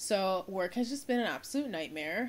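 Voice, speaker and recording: Lively intonation at a fairly quick pace. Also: woman. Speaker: vlogger. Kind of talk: casual vlog chat. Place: home room. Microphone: phone near.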